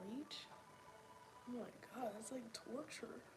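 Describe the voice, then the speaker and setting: A soft-spoken woman at a moderate pace, with audible room echo and noticeable background noise. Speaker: vlogger. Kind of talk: video journal monologue. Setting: at home on the couch. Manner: halting.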